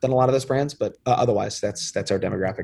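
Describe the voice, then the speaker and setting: A somewhat breathy man speaks with an American accent and fairly even intonation. The recording is very clean, with a silent background. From New York suburbs, US. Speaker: beverage company founder. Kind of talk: interview. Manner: casual.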